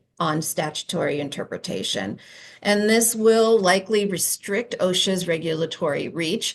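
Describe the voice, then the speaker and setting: Here is a woman with a normal speaking voice at a medium pitch and ordinary pitch variation. She goes at a fairly slow pace over a quiet background. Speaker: employment lawyer presenter. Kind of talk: conference presentation.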